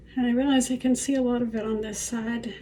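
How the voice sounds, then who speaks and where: Against noticeable background noise, a woman speaks at a moderate pace in a fairly high voice with monotone, flat intonation. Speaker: artist and author with chronic illness. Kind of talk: personal video diary while applying makeup. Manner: hesitant, with fillers.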